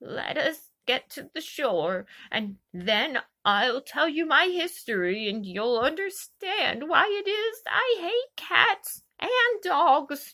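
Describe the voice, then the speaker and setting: A woman puts on a character voice, high-pitched and shaky, speaking very slowly with very wide swings in pitch. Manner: trembling with emotion, pale with passion.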